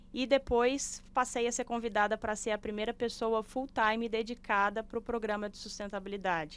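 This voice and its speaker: In a Belo Horizonte accent, a woman talks at a moderate pace. Her fairly high voice keeps a fairly even intonation. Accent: Belo Horizonte (mineiro). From Brazil, Belo Horizonte (Minas Gerais). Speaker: sustainability manager, civil engineer. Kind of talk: podcast interview.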